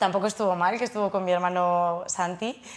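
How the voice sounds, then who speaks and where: A woman speaks with a fairly low pitch and fairly even intonation. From Spain, Navarre (Pamplona); Navarre, Spain. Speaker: trail runner and lawyer; lawyer. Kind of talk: studio interview. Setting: studio. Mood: relaxed, friendly.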